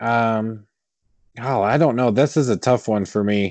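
A man's ordinary pitch variation comes through over a quiet background. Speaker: podcast co-host.

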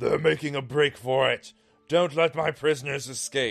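A man does a put-on character voice, raspy and fairly high in pitch, at a moderate pace. Faint music plays in the background. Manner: booming.

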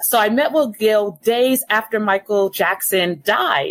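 A woman's ordinary speaking voice, fairly high-pitched, with lively intonation and a dry, close sound with no echo. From Los Angeles. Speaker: communications and marketing executive. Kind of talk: interview.

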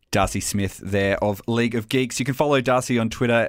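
Talking at a fairly quick pace with an Australian accent and ordinary pitch variation, the speaker comes through on a very clean recording with a silent background. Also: man. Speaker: podcast host. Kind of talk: casual chat.

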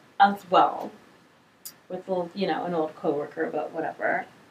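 A woman with a fairly low pitch speaks in an animated tone over noticeable background noise. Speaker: podcast host. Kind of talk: casual chat.

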